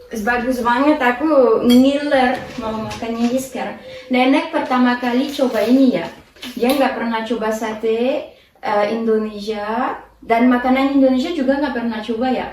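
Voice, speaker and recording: Fairly even intonation in a French accent, with audible room echo and noticeable background noise. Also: woman, high pitch for a woman, moderate pace. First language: French (speaking Indonesian). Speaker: vlogger. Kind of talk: casual chat.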